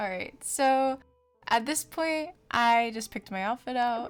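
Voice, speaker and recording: Music plays in the background as a woman with a fairly high pitch talks in a calm tone at a fairly slow pace, with ordinary pitch variation. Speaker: gamer, college student. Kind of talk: gameplay voice-over commentary.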